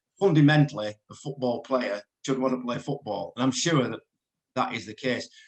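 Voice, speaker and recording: With an English accent, a man talks at a moderate pace in a medium pitch, with ordinary pitch variation. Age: 60s. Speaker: radio presenter. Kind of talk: interview.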